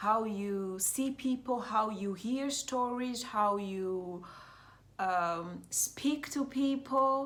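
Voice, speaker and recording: A woman with an East African accent, fairly high pitched, at a very slow pace. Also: ordinary pitch variation. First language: Swahili. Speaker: mindfulness coach. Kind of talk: vlog monologue. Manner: halting, many fillers.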